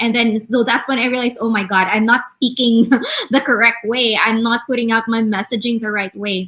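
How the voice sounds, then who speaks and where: A woman's bright, sharp, fairly high voice, fairly quick and in a monotone, flat intonation, with a Visayan Filipino accent. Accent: Filipino (Cebuano) English. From Philippines, Cebu. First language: Bisaya. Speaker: online business manager. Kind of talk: casual chat. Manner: halting.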